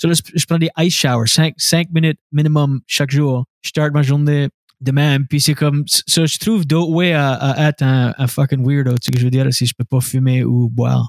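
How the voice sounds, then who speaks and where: A man with a fairly high pitch talks at a moderate pace with hardly any pauses, fairly even intonation and very even loudness, in a dry, close sound with no echo. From Scoudouc, New Brunswick (Acadia). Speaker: stand-up comedian and radio host. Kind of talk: casual interview chat.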